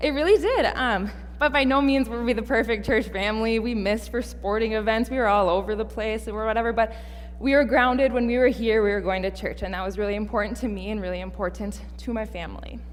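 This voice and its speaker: A woman with an American accent speaks at a very fast pace, with audible room echo. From Minnesota (Fergus Falls). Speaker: seminary student preacher. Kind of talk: sermon. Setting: church.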